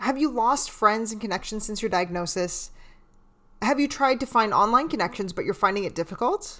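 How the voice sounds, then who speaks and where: Using a normal speaking voice, a woman with a fairly high pitch talks at a moderate pace with lively intonation. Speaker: psychotherapist and podcast host. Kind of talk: podcast intro and narration.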